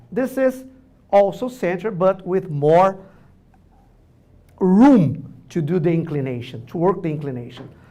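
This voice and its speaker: A man with a Brazilian Portuguese accent, high pitch and dark, mellow tone, at a fairly slow pace with very wide pitch swings and long, frequent pauses. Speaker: orthodontics professor. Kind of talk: lecture. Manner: loud; animated.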